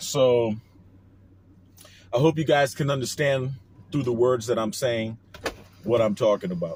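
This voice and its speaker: A man's medium-pitched, somewhat breathy voice with a New Orleans accent, fairly slow, with ordinary pitch variation and long, frequent pauses. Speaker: online commentator. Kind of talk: casual monologue vlog. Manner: casual, hesitant with fillers.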